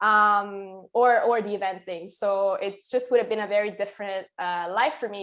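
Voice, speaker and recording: In an Italian accent, a woman talks at a medium pitch with monotone, flat intonation. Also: very clean recording, silent background. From Italy, Sicily. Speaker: musician and concert promoter. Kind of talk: interview. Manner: casual, hesitant with fillers.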